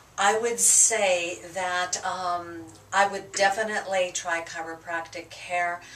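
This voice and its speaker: A woman speaks very slowly in a flat, monotone way at a medium pitch. Noticeable background noise runs under her voice. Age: 60s. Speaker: chiropractic patient. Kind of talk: patient testimony. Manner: halting, many fillers.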